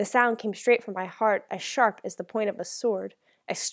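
Quiet surroundings behind a plain read-aloud passage

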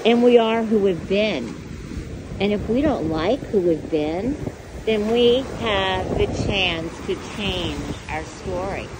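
A woman's gentle, medium-pitched voice with lively intonation, at a very slow pace with long, frequent pauses, against noticeable background noise. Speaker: singer and YouTuber. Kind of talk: inspirational video podcast, casual talk to camera. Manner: encouraging, gentle.

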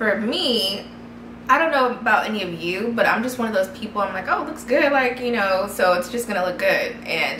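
A woman's voice at a moderate pace, with audible room echo and light background noise. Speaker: vlogger. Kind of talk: casual vlog chat. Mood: candid, conversational. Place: home room.

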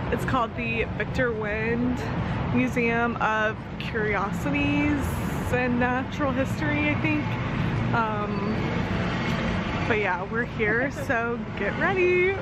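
A woman at a very slow pace with long, frequent pauses, dry sound with no echo and music in the background. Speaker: vlogger. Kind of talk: casual vlog chat. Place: street. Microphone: phone near.

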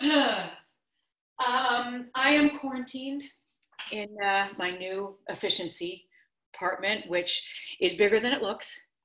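A woman speaks at a high pitch. Audible room echo surrounds her voice. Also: quiet background. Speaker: actor. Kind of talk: scripted virtual theater monologue, couple bickering over video call. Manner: exasperated, sarcastic, argumentative. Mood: flustered, upset, defensive. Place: kitchen. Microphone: video call.

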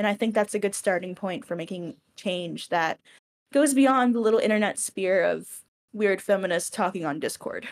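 A woman with an ordinary speaking voice talks in an American accent at a moderate pace, at medium pitch with ordinary pitch variation. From US South, Georgia. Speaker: interviewer. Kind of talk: casual interview.

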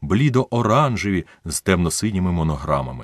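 A man speaks with a very deep, low pitch and very wide pitch swings, in a dry, close sound with no echo over a quiet background. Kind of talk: literary audiobook reading. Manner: measured, narrative storytelling pace, voicing dialogue with shifts in tone.

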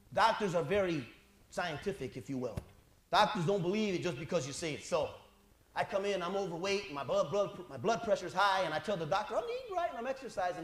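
In a room with audible echo, a man talks very fast at a high pitch, his intonation lively and his loudness swinging widely. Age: 40s. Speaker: pastor. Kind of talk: sermon. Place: church.

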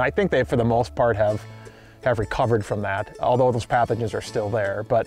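Faint music plays in the background. A man speaks, and the sound is dry with no echo. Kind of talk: interview answer. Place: open country.

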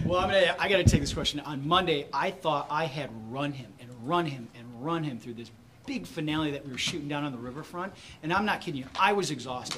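Over noticeable background noise, a fairly high-pitched man with an American accent talks at a very fast pace with big swings in loudness. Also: ordinary pitch variation. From Michigan. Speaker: film director; film director on panel. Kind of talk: press conference. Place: hall. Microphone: podium.

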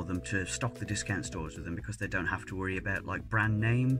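A man with a fairly low voice speaks over clear background music. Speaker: snack tasting vlogger. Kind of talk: casual vlog chat. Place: home room.

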